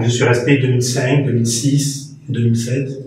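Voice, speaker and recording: Over noticeable background noise and audible room echo, a man speaks at a moderate pace and medium pitch in a monotone, flat delivery. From France. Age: 60s. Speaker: radio presenter and former teacher. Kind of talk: interview. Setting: TV studio.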